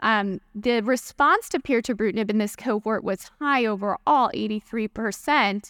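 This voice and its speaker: In an ordinary speaking voice, a woman with fairly high pitch and ordinary pitch variation talks at a moderate pace, recorded very cleanly with a silent background and dry, close sound with no echo. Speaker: oncologist panelist. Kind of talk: medical lecture.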